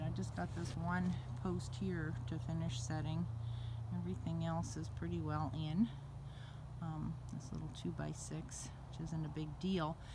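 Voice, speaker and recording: Noticeable background noise fills the recording. A woman talks at a fairly slow pace over it. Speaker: donkey owner, DIY builder. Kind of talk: casual talk to camera. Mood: proud, upbeat. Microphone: phone near.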